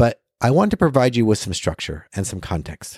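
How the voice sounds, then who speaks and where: A man speaks at a medium pitch, his voice dry and close with no echo, on a very clean recording with a silent background. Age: 50s. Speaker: podcast host. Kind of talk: solo podcast talk.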